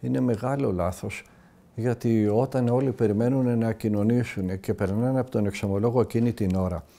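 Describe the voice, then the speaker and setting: This man's voice has a dark, mellow tone at medium pitch. He talks at a moderate pace with ordinary pitch variation. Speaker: Orthodox monastic elder from Mount Athos giving a talk. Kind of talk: religious talk answering a listener's question.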